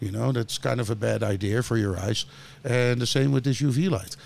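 Someone talks at a fairly quick pace with a Dutch accent. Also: man. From Netherlands. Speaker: grow lighting entrepreneur. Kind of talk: interview. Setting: studio.

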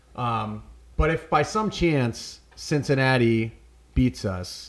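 A man at a medium pitch, somewhat breathy, with lively intonation and a very slow pace. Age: 30s. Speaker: sports podcast host. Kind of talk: casual chat.

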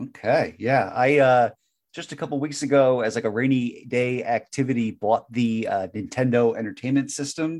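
Recorded very cleanly against a silent background, a man with a medium pitch, a plain, everyday voice and ordinary pitch variation speaks at a moderate pace. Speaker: podcast host. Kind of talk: casual interview chat.

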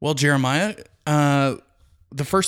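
The man has a Texan accent and a moderate pace. The recording is very clean, with a silent background. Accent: Texan American. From Texas, Midland. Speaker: podcast host, real estate agent. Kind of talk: solo advice podcast, answering listener questions. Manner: casual with frequent fillers.

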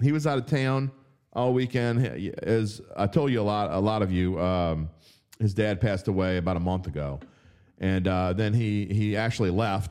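With a New Orleans accent, a man speaks in an animated tone at a fairly low pitch and a moderate pace, with ordinary pitch variation, in a very clean recording with a silent background. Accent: New Orleans Yat. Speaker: sports betting writer and podcast host. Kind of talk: casual sports talk show. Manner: animated, opinionated.

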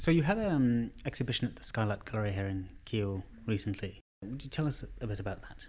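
In a very clean recording with a silent background, a man speaks fairly quickly at a medium pitch, somewhat breathy, with lively intonation. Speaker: podcast host. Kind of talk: casual interview. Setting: studio.

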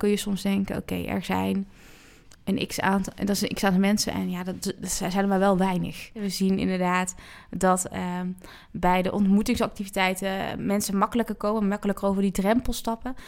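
Her delivery fairly quick, a woman speaks with monotone, flat intonation. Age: 30s. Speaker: church youth work coordinator. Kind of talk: interview. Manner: hesitant, many fillers.

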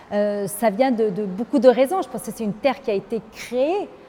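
Lively intonation carries this woman's fairly high, somewhat breathy voice, which has a dark, mellow tone and moves at a moderate pace. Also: big swings in loudness. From Lebanon. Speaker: business leader and women's advocate. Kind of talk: interview.

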